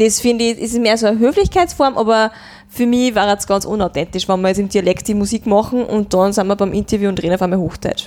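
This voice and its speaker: Speaking at a very fast pace in an Upper Austrian accent, a woman holds a fairly high pitch with ordinary pitch variation on a very clean recording against a silent background. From Upper Austria, Mühlviertel (Rohrbach district). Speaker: dialect pop singer-songwriter. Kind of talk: interview conversation.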